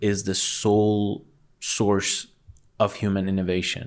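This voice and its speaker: A man with a Persian accent, fairly low in pitch and fairly slow, on a very clean recording with a silent background. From Iran, Tehran. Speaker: digital artist. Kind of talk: casual chat.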